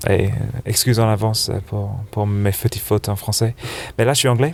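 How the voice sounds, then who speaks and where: The speaker is a man with a medium pitch. He talks in a flat, monotone way. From England, Birmingham area. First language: English (speaking French). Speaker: snowboard shop buyer. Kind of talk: interview. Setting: couch in a trade fair hall. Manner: halting. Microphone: poor sound quality.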